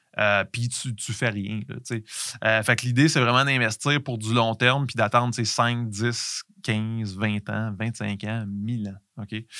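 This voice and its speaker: A man with a Quebec accent speaks at a very slow pace, with medium pitch and fairly even intonation. His tone is bright and sharp on a very clean recording with a silent background. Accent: Québécois French. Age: 40s. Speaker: podcast host, entrepreneur. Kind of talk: solo podcast monologue. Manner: halting, many fillers and repetitions.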